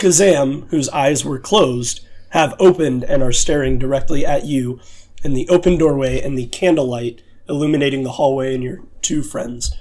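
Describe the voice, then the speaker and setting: In a put-on character voice, a man sounds raspy and fairly high, speaking at a moderate pace with ordinary pitch variation. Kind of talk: spooky tabletop narration. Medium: actual play. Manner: casual, hesitant with filler words.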